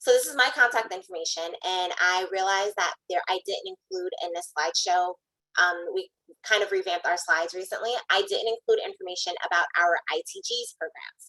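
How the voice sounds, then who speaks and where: A woman talks at a fairly quick pace in a bright, sharp tone, with medium pitch and ordinary pitch variation. The sound is dry and close, with no echo. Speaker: workforce program panelist. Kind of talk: panel presentation. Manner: fast.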